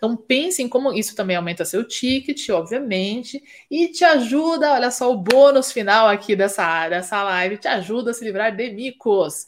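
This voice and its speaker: Recorded very cleanly against a silent background, a woman with fairly high pitch speaks at a moderate pace with lively intonation in an ordinary speaking voice. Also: hardly any pauses. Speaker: fashion business consultant and podcast host. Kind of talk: live stream Q&A and business teaching. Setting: live stream.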